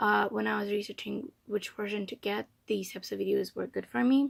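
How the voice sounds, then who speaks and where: A woman speaks with a non-native accent. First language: not English. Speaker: K-pop fan vlogger. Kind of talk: unboxing video. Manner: casual, hesitant with fillers. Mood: soft, somewhat emotional. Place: home room. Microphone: phone near.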